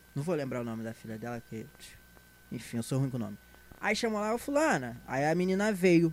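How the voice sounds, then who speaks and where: Speaking at a fairly quick pace, a man with a fairly high pitch makes very wide pitch swings and big swings in loudness. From Brazil, Rio de Janeiro (São João de Meriti, Baixada). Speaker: stand-up comedian. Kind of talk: casual chat. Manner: animated.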